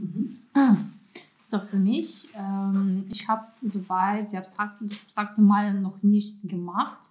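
Speaking at a very slow pace with long, frequent pauses, a woman uses a medium pitch. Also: fairly even intonation. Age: 20s. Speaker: art student. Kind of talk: casual chat.

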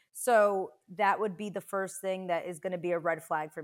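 A woman's normal speaking voice at a medium pitch and a moderate pace, on a very clean recording with a silent background. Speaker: guest talking about dating. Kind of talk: casual chat. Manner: upbeat, chatty.

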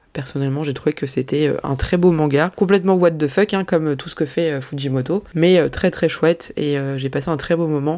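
A woman's very deep, low voice. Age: 30s. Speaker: manga podcaster. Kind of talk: casual solo podcast Q&A. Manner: animated.

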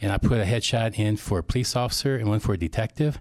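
A man speaks at a very fast pace, his pitch medium with ordinary variation. The recording is very clean, with a silent background. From Iowa, US Midwest. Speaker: chiropractor and actor. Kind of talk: casual interview.

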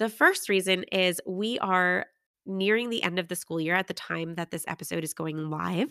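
A woman speaks at a moderate pace and medium pitch, with ordinary pitch variation and a bright, sharp tone. The recording is very clean, dry and close, with a silent background and no echo. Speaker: kindergarten teacher and podcast host. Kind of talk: solo podcast monologue. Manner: animated.

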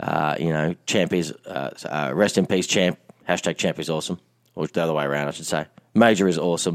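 A man speaks at a very deep, low pitch with ordinary pitch variation and a fairly quick pace. The sound is dry and close with no echo. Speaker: podcast co-host. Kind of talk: casual chat. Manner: hesitant, many fillers.

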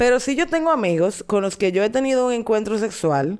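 A woman with lively intonation is heard on a very clean recording with a silent background. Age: 30s. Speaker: podcast host. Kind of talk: casual chat.

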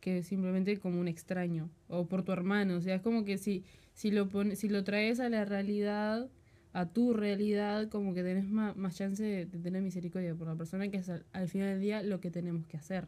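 A woman speaks at medium pitch in a dark, mellow tone. Her pace is moderate and her intonation fairly even. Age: 20s. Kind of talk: casual chat. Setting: studio.

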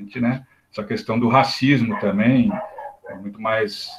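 At a fairly slow pace, a man talks in a plain, everyday voice. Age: 50s. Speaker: spiritist study group participant. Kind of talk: group discussion.

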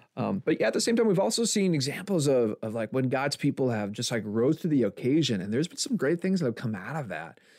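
A man with an American accent talks at a very fast pace with hardly any pauses. His fairly high pitch has very wide swings and vocal fry. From Milwaukee, Wisconsin, US. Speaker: pastor. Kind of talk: casual chat.

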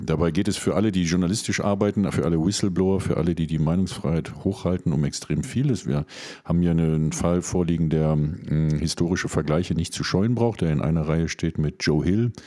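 A man talks at a fairly quick pace with a very deep, low pitch and ordinary pitch variation. His tone is dark and mellow, and his loudness is very even. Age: 50s. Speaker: radio show host. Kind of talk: scripted commentary reading; radio magazine chat.

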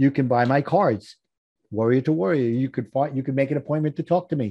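A man speaks at a fairly quick pace and a medium pitch. His pitch shows ordinary variation.

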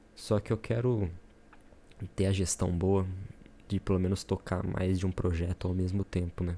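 A man speaks at a moderate pace with a very deep, low pitch. His tone is dark and mellow, and his intonation is monotone and flat. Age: 20s. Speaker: podcaster, aspiring entrepreneur. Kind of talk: solo introductory podcast monologue. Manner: casual, with hesitations and fillers.

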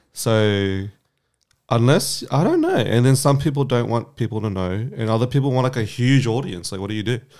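Over a silent background in a very clean recording, a man with an Australian accent speaks at a fairly quick pace, his medium pitch showing ordinary variation. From Vietnamese heritage. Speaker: podcast co-host. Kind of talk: casual chat. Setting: studio.

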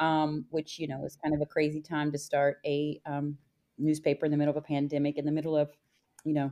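A woman speaks at a very fast pace in an American accent. Her pitch is very deep and low, and her intonation is monotone and flat. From West Virginia. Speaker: magazine founder. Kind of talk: casual interview conversation.

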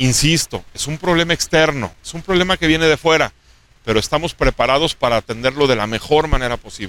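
A man's fairly high, fairly quick voice in a central Mexican accent, lively intonation, dry, close sound with no echo. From Mexico, Aguascalientes. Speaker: state government official. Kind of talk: interview.

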